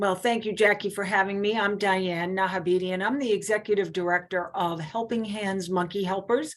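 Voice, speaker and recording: With a Boston accent, a woman of medium pitch talks at a fairly quick pace with hardly any pauses and fairly even intonation against a quiet background. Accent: Boston, non-rhotic. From US Northeast, Boston area. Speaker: charity executive director. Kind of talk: interview.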